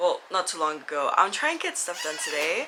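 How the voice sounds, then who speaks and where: A woman with an American accent, with noticeable background noise. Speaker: lifestyle and book vlogger. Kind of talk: casual vlog chat. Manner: talkative.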